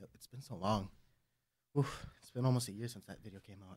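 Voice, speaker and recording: At a very fast pace, a man speaks at medium pitch with fairly even intonation. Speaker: card game channel co-host. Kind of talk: casual podcast chat. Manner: quiet.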